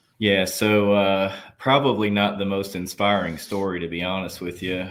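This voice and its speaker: A man with a Southern US accent, fairly low pitch and fairly even intonation, in audible room echo. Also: moderate pace. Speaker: army veteran and nurse executive. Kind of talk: interview conversation.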